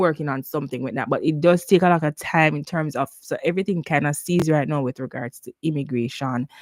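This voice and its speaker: The speech comes in a Jamaican accent. The pace is fairly quick. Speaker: nurse and nursing career advisor. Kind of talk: live Q&A stream. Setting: YouTube livestream. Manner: casual, conversational with fillers.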